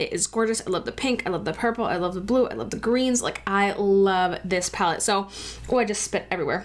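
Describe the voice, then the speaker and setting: A woman at medium pitch with ordinary pitch variation, animated in tone and fairly quick in pace, against noticeable background noise. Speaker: beauty vlogger. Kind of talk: makeup tutorial. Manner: fast.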